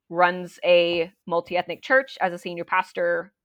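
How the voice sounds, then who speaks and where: Recorded with a dry, close sound and no echo, a woman speaks in an unremarkable speaking voice with fairly even intonation. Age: 20s. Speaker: pastor. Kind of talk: casual interview conversation.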